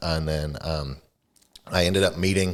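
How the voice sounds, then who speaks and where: A man with an American accent at a moderate pace, ordinary pitch variation, and a very clean recording with a silent background. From England, York. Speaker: real estate agent. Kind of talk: casual chat.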